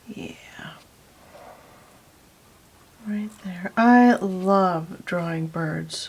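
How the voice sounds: A soft-spoken woman with a fairly low pitch talks at a very slow pace, her pitch varying in an ordinary way.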